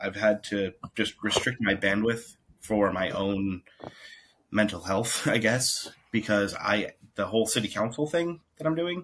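Using an unremarkable speaking voice, a man talks at a fairly slow pace with a fairly low pitch and lively intonation. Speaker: local political candidate. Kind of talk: casual chat. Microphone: new device.

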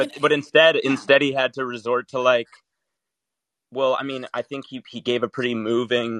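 Medium-pitched male voice at a moderate pace, dry and close with no echo, against a quiet background. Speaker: caller. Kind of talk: casual call-in discussion. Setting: phone call.

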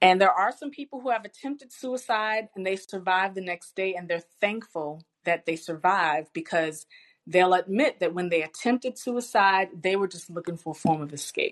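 An ordinary speaking voice from a woman with an American accent, medium in pitch, with lively intonation, a moderate pace, big swings in loudness, and a dry, close sound with no echo. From US South, Richmond, Virginia. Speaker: professor and business owner. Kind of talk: interview.

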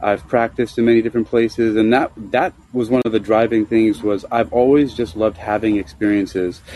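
Speaking at a fairly quick pace, a man with an American accent uses a plain, everyday voice at medium pitch with fairly even intonation. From New York City (Queens, Bronx). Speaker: martial arts instructor. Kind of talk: casual chat. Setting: live call-in audio app.

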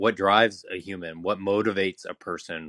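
At a moderate pace, a man talks in a fairly low-pitched voice. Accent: Californian. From California, San Diego. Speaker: marketing executive. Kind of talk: casual chat.

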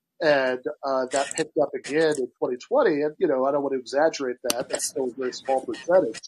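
With an American accent, a man speaks in a plain, everyday voice. His pitch is fairly high, with ordinary variation. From Michigan. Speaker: podcast host. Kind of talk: casual chat.

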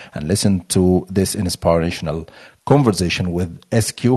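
This man's voice has a dark, mellow tone. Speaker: podcast host. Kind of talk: interview, news-style intro.

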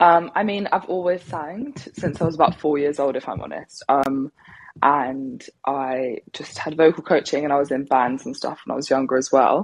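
The voice shows big swings in loudness along with ordinary pitch variation. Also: woman, very deep, low pitch for a woman, moderate pace. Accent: southern English. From England, Devon. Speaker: R&B singer. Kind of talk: casual interview. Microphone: clear line.

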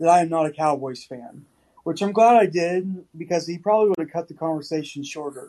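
This man's high-pitched voice has a dark, mellow tone and ordinary pitch variation. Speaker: podcast co-host. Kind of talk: casual chat.

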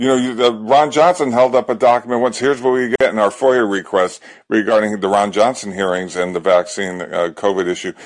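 A man's medium-pitched, unremarkable speaking voice with ordinary pitch variation at a moderate pace. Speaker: caller. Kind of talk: casual chat.

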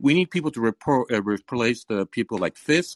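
A man with a normal speaking voice uses lively intonation at a medium pitch, recorded with a dry, close sound with no echo against a quiet background. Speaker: caller. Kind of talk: call-in debate.

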